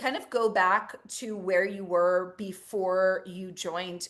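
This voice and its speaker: Fairly slow and with fairly even intonation, a woman speaks in a normal speaking voice at a medium pitch. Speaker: intuitive coach and energy worker. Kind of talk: interview host questions.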